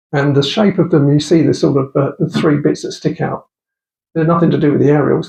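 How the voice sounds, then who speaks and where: Vocal fry over a monotone, flat intonation. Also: man. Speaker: radio amateur giving a club talk. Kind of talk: lecture. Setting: club meeting with audience. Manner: halting, many fillers.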